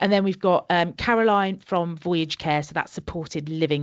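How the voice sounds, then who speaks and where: A woman's fairly low voice with a Birmingham accent, fairly quick, with ordinary pitch variation. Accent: Birmingham twang. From Birmingham area, English Midlands. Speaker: conference speaker, social care sustainability consultant. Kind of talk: interview. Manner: animated.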